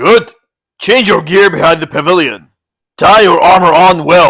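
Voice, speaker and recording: A man's high, put-on character voice at a moderate pace with very even loudness. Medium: read story.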